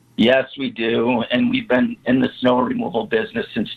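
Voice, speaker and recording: A man talks at a fairly slow pace as noticeable background noise goes on. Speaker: snow removal business owner. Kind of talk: interview. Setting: phone call.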